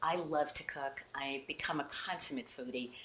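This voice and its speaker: A woman speaks over noticeable background noise. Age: 60s. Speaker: women's health coach. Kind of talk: promotional talk to camera. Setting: home kitchen. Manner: enthusiastic.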